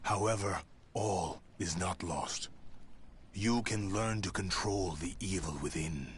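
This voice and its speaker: A man uses a put-on character voice with a very deep, low pitch and a solemn tone. He speaks fairly slowly with ordinary pitch variation over clear background noise. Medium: video game. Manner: solemn, measured, cryptic.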